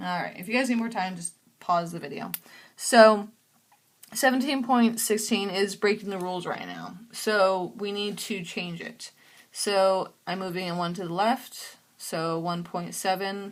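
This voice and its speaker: A normal speaking voice from a woman, medium in pitch, at a fairly slow pace with ordinary pitch variation and big swings in loudness, in a very clean recording with a silent background. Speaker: math teacher. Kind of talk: tutorial.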